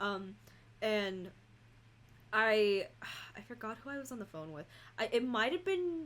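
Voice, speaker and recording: The pitch swings very widely. The speaker has a Californian accent. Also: woman. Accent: Californian American English. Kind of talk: casual chat. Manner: comes across as bitchy in tone; heavy filler words.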